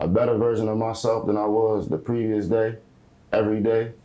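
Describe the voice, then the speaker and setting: Relaxed speech at a moderate pace from a man with a fairly low pitch, a dark, mellow tone, and an American accent. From Delaware and Portsmouth, Virginia. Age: 20s. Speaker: rapper. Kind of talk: casual interview. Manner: casual, relaxed.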